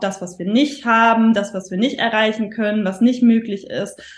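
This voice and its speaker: The pace is moderate. A somewhat breathy quality marks the voice. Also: woman. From northern Germany. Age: 30s. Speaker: stress and mindset coach. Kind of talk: podcast interview.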